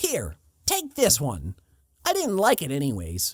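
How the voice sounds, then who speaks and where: A man delivers a put-on character voice at a fairly slow pace. The recording is very clean with a silent background. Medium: read story. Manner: smug.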